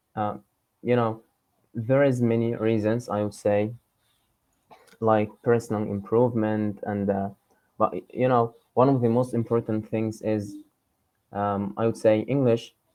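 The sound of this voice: With a dark, mellow tone and fairly low pitch, a man speaks at a fairly slow pace, showing little pitch movement and leaving long, frequent pauses.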